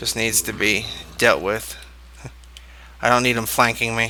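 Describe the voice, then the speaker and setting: The man speaks quietly. His pace is fairly slow. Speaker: gaming video creator. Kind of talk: let's play commentary.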